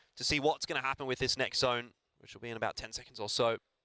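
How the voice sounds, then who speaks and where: Very fast speech from a man with an Australian accent and a bright, sharp tone. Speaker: esports caster. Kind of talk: live commentary.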